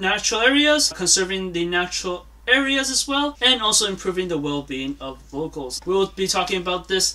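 A man in a raised, projected voice talks at a fairly quick pace with very wide pitch swings and hardly any pauses. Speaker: presenter. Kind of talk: school presentation. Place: home room. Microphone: phone near.

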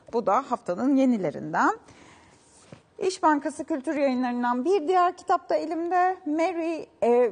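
A woman speaks at a fairly slow pace. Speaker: TV culture show host. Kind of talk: news-style book and event roundup; TV interview. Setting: TV studio. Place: studio.

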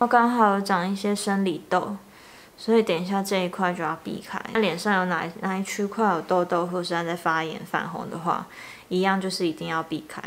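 The woman talks at a fairly quick pace. Her intonation stays fairly even. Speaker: beauty vlogger. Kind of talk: tutorial. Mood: calm, relaxed. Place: home room. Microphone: camera far.

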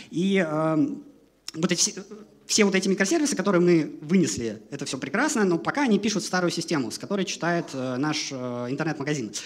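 The delivery moves at a fairly quick pace. Intonation is lively. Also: man, high pitch for a man. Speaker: software developer, conference speaker; conference speaker. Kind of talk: conference talk. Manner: fast. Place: hall. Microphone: headset.

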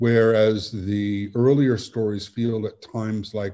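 Speaking at a very slow pace, a man has a fairly low pitch and a dark, mellow tone. His intonation is monotone and flat, against a quiet background. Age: 60s. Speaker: author; guest. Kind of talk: interview. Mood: thoughtful, measured. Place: home room. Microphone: video call.

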